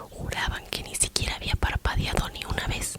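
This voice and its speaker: The woman's speech is whispered and fairly slow. Background noise is noticeable behind her. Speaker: ASMR creator. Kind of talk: horror story reading.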